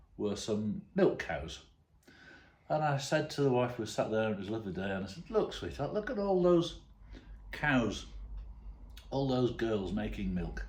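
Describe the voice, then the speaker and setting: Amid audible room echo, a man speaks with vocal fry and very wide pitch swings. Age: 60s. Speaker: retired father telling stories. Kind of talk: casual anecdote to camera.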